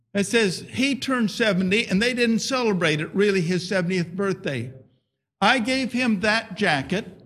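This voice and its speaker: Raised and projected, a man's high-pitched voice carries a bright, sharp tone. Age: 70s. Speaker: missionary. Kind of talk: sermon. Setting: church.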